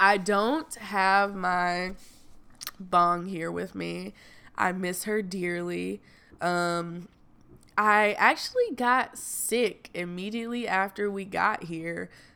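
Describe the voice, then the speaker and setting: Speech comes at a very slow pace. The tone is bright and sharp, with fairly even intonation. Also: woman, medium pitch for a woman. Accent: Southern US. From US South. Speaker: podcaster. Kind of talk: casual chat. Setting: Airbnb rental.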